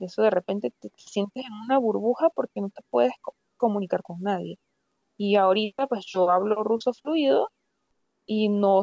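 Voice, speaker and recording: Recorded dry and close with no echo, a woman speaks in an ordinary speaking voice at medium pitch and a moderate pace, with lively intonation and big swings in loudness. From Venezuela, Valera (Andes). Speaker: doctor, plastic surgery resident. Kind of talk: interview conversation. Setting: remote call.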